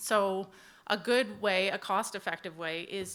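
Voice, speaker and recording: A loud woman's voice, bright and sharp in tone, at a fairly slow pace with fairly even intonation, in a very clean recording with a silent background. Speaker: HR manager at equipment dealer. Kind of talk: panel presentation. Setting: conference stage with audience. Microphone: handheld mic held low, close.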